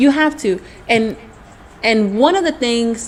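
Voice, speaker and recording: A woman speaks in an animated tone. Noticeable background noise runs under her voice. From US South, Mobile, Alabama. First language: Spanish. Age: 20s. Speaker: entrepreneur, nail artist. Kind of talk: interview.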